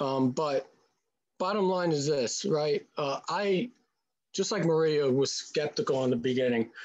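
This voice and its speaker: A man talks with a New York accent in a fairly high voice. His intonation is lively and his pace moderate. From Staten Island, New York. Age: 40s. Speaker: brand partner. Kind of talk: testimony. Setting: video call.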